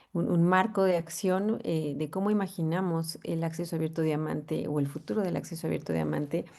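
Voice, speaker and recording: Dark and mellow in tone, a woman's fairly low voice moves at a fairly quick pace with ordinary pitch variation and hardly any pauses. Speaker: professor. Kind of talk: conference talk. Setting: video call. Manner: hesitant, many fillers.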